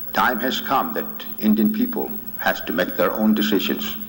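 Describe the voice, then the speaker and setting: Against noticeable background noise, the speaker talks at a moderate pace with an American accent. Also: man. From Oklahoma, Muscogee Creek. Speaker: spiritual leader. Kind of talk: speech.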